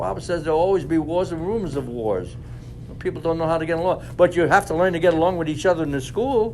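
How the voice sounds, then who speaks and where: The speech races at a very fast pace with ordinary pitch variation over noticeable background noise. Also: man, high pitch for a man. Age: 90s. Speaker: war veteran. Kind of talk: talk to students.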